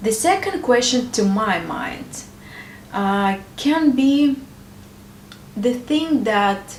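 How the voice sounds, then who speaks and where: A woman's high voice, very slow and with lively intonation and long, frequent pauses, with audible room echo and noticeable background noise. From Ukraine. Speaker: married woman sharing advice. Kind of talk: personal advice talk to camera. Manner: hesitant, with filler sounds.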